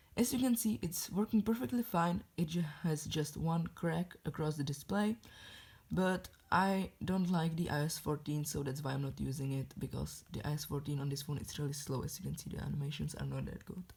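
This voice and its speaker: Somewhat breathy and in a non-native accent, the speaker talks at a fairly quick pace with lively intonation. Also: woman, very deep, low pitch for a woman. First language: not English. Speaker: tech hobbyist YouTuber. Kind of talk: show-and-tell review.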